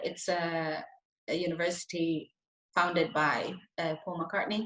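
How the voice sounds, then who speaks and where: Delivered at a fairly slow pace, the speech carries a Spanish accent. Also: woman. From Spain, Madrid. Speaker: soul singer. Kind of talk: interview.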